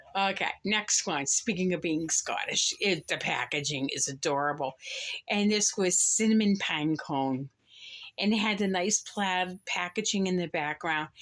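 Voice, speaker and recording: In an American accent, a woman with an ordinary speaking voice talks at a medium pitch with ordinary pitch variation and very even loudness, on a very clean recording with a silent background. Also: fairly slow pace. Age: 60s. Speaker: candle reviewer. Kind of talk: product haul review. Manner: casual, chatty.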